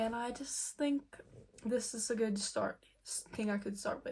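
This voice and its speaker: Somewhat breathy and fairly high in pitch, a woman speaks with a slight non-native accent. Her pace is moderate. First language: not English. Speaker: beauty vlogger. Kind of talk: makeup tutorial. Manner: casual, filler-heavy.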